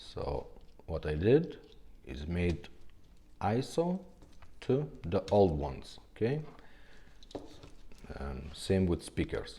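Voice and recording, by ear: A man speaks slowly in a low-pitched, dark, mellow voice, with big pitch swings and long, frequent pauses.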